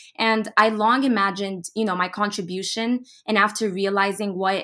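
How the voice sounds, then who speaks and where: Bright and sharp in tone, a woman's voice comes through on a very clean recording with a silent background. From Dubai, UAE. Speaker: new podcast host, pharmaceutical industry fellow. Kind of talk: casual interview.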